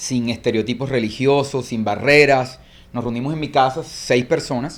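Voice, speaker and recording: In a Colombian accent, a man speaks at a moderate pace with a medium pitch and fairly even intonation. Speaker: church movement leader. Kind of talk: interview conversation.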